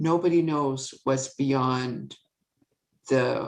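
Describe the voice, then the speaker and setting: A woman with a Canadian accent speaks with fairly even intonation. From Canada, Saskatchewan. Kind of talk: talk with slides.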